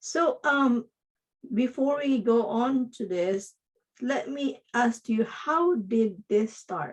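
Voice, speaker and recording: The speech is very slow, with lively intonation. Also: woman, high pitch for a woman. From Philippines. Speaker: podcast host, digital marketing coach. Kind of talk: interview.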